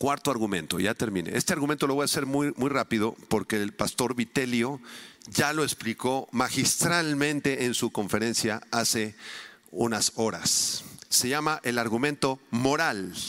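A man's unremarkable speaking voice, medium-pitched, at a fairly slow pace, with very even loudness and ordinary pitch variation. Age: 50s. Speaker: preacher, conference speaker. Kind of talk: sermon.

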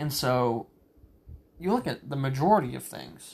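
This man speaks with a Southern US accent. His voice sits fairly high in pitch. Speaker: solo podcaster. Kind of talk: solo monologue, casual ramble on politics. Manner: casual, rambling, hesitant with fillers.

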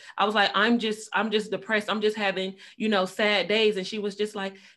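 A woman talks at a fairly quick pace and medium pitch, with fairly even intonation. The recording is very clean, with a silent background. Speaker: podcast host. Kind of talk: casual chat. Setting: studio. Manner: calm.

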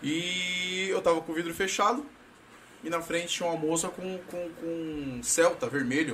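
The man speaks with a high pitch. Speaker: podcast host. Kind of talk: casual chat. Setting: studio. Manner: animated.

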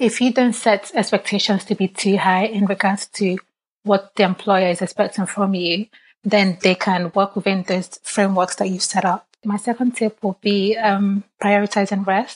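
Speaking at a moderate pace and medium pitch, a woman sounds somewhat breathy and monotone, with flat intonation, in a dry, close recording with no echo and a quiet background. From Nigeria. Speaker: financial services professional and wellbeing founder. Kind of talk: casual interview chat.

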